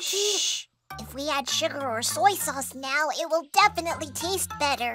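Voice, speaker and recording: Faint music plays behind a high-pitched, cartoonish character voice. The delivery moves at a moderate pace. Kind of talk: children's cartoon acting. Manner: excitable, then apologetic.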